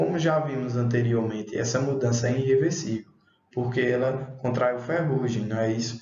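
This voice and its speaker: At a moderate pace, a man talks in a normal speaking voice, medium in pitch with ordinary variation. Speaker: schoolteacher. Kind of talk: online class lesson.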